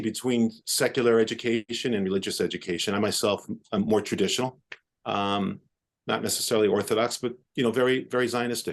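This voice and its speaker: A man with a New York accent talks at a very fast pace and a medium pitch. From New York City, Upper West Side of Manhattan. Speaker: orthopedic surgeon. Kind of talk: podcast interview. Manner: halting.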